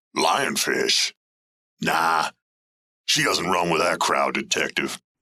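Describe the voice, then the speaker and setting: A man puts on a gruff character voice. He speaks at a fairly slow pace. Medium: audio drama. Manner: streetwise, defensive, ungrammatical.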